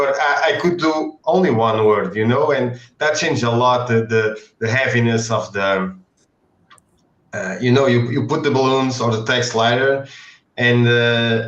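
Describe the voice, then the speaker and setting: A man with a non-native accent speaks at medium pitch and a moderate pace, with ordinary pitch variation. Long, frequent pauses break up his speech, and the room echo is audible. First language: not English. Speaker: comic book artist. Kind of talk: casual chat. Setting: live stream. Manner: halting.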